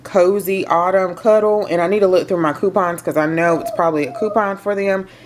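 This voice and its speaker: Noticeable background noise is audible. Over it, a woman's intonation remains fairly even. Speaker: home decor haul vlogger. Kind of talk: casual vlog chat. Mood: cheerful, chatty. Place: home room. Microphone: phone near.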